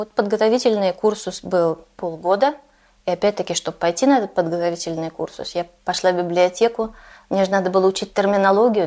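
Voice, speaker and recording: Here is a woman with an ordinary speaking voice at medium pitch. She talks at a fairly quick pace with ordinary pitch variation. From Russia. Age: 40s. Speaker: Russian emigrant living in Denmark. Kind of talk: interview.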